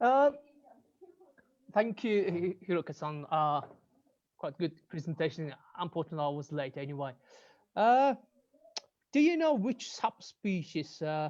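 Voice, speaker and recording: The speaker has a Mongolian accent and leaves long, frequent pauses. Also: moderate pace. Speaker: ornithologist, audience participant. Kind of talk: Q&A question. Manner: halting.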